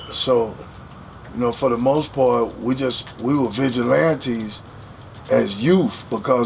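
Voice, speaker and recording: Amid noticeable background noise, a man with an American accent speaks in a medium pitch with ordinary pitch variation. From Dallas, Texas. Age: 60s. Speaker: record label executive. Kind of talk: casual interview.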